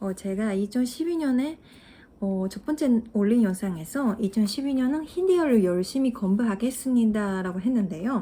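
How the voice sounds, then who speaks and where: A woman with a Japanese accent talks at a fairly slow pace. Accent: Japanese accent in Korean. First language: Japanese (speaking Korean). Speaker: language-learning YouTuber. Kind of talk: casual vlog talk to viewers. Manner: halting, many fillers.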